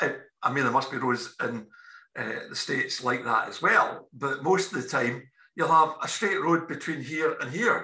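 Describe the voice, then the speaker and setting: A man speaks with a Scottish accent at a moderate pace. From Scotland. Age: 60s. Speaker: podcast editor and interviewer. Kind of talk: casual political chat.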